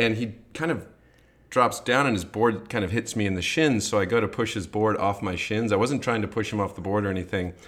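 He has a plain, everyday voice, fairly low in pitch, with an American accent. The man talks at a fairly quick pace with ordinary pitch variation. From US Midwest. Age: 40s. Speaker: podcast host. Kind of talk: casual chat.

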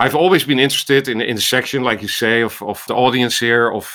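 A man talks at a very fast pace with a Dutch accent and a bright, sharp tone. His pitch varies in an ordinary way, and the recording is very clean with a silent background. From Netherlands. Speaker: ophthalmologist and medical AI researcher. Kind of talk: interview conversation.

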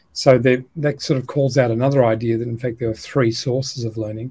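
A man with an Australian accent speaks at medium pitch and a moderate pace, in a somewhat breathy voice with a dark, mellow tone. His intonation is monotone and flat, and the recording is very clean with a silent background. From Australia, Melbourne. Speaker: educator and education company co-founder. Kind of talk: interview conversation.

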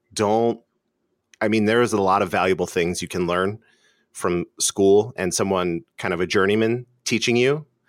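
In a very clean recording with a silent background and a dry, close sound with no echo, a voice with an American accent moves at a moderate pace with ordinary pitch variation. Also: man, fairly low pitch for a man. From Philadelphia, Northeast Philly. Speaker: filmmaker, former web developer. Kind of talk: interview.

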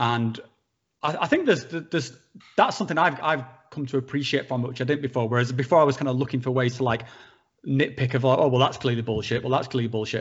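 A somewhat breathy man of medium pitch, very fast, with fairly even intonation. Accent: northern English. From northern England. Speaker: psychedelics YouTuber. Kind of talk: casual chat.

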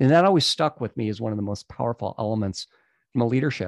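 This man speaks with an American accent in a normal speaking voice at medium pitch and a fairly quick pace. The sound is dry and close with no echo against a quiet background. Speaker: coach and company founder. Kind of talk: casual interview chat.

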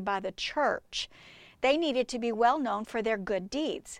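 In a very clean recording with a silent background, a woman with a plain, everyday voice speaks at a fairly high pitch and a moderate pace, with ordinary pitch variation. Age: 60s. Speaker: Bible study teacher. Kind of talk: devotional teaching podcast.

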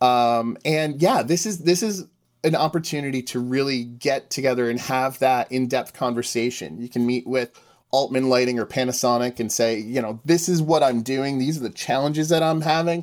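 This man's pitch is medium and rises and falls in an ordinary way. He keeps a moderate pace. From US Northeast. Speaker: conference organizer. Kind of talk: interview. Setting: video call from home basement. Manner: halting.

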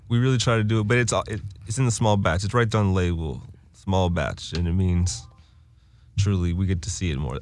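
The speech comes very fast with lively intonation. Room echo is audible. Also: man. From Winston-Salem, North Carolina. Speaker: cannabis brand representative. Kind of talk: casual chat.

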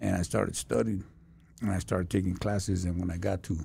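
The voice is somewhat breathy, with a dark, mellow tone. The pace is fairly quick. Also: man. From Los Angeles (Lincoln Heights). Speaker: former prisoner turned counselor. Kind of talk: casual interview. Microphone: too far from mic.

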